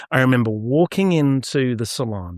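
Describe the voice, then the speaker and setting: With an American accent, a man of medium pitch speaks in an animated tone on a very clean recording with a silent background and a dry, close sound with no echo. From southeast London, England. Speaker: hairdresser and cutting educator. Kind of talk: interview, personal story. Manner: animated storytelling.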